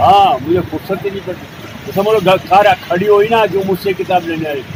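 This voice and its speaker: With noticeable background noise behind him, a high-pitched man talks at a moderate pace with fairly even intonation. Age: 80s+. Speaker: shopkeeper. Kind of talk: interview.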